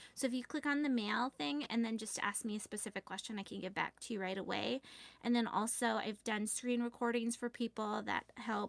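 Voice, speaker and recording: Pitch variation is ordinary. The sound is dry and close, with no echo. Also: woman, fairly high pitch for a woman. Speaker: planner shop owner and YouTuber. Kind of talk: live stream chat. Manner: fast.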